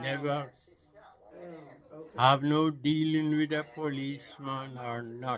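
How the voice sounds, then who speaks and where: In a Jamaican accent, a man with a fairly high pitch talks very slowly and flatly in a monotone, with long, frequent pauses. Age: 80s+. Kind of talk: interview answer.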